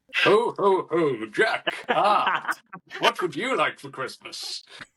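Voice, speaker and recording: This is a put-on character voice at a very slow pace. Its loudness swings widely. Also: man, high pitch for a man. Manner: jolly.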